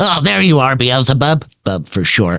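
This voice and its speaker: A man puts on a character voice pitched at a medium level. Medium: actual play. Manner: folksy, good-natured.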